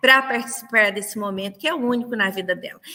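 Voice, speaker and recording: Her voice raised and projected, a woman speaks. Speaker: nursing professor. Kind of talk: lecture. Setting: online livestream.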